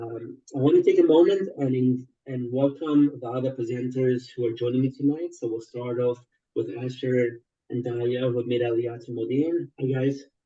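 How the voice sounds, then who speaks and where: In a dark, mellow tone, a somewhat breathy man speaks at a moderate pace with a medium pitch and fairly even intonation. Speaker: webinar host, co-founder of an advisory firm. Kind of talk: webinar presentation. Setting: online webinar. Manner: hesitant, with fillers.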